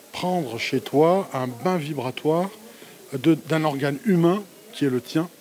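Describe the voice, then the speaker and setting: A man, fairly high in pitch, talks very slowly while noticeable background noise carries on. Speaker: interviewer at a wellness fair. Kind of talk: casual interview. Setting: exhibition fair stand.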